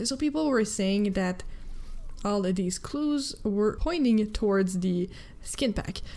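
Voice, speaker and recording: The tone is animated. The pace is fairly slow. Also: woman. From Quebec, Canada. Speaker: gaming news youtuber. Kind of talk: casual gaming commentary.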